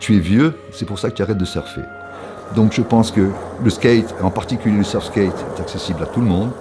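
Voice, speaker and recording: Amid noticeable background noise, a man with a fairly low pitch speaks at a fairly quick pace but leaves long, frequent pauses. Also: ordinary pitch variation. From France. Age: 70s. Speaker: veteran skateboarder. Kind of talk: documentary interview. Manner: halting, many repetitions and hesitations.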